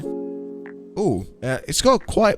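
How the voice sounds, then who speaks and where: Music plays in the background as a man speaks in a British accent. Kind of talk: casual product review to camera. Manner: stuttering, hesitant.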